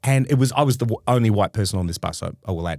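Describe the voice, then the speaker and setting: In an Australian accent, the speaker talks very fast with lively intonation, and the sound is dry and close with no echo on a very clean recording over a silent background. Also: man. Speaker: comedy podcast co-host. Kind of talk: casual chat. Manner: halting.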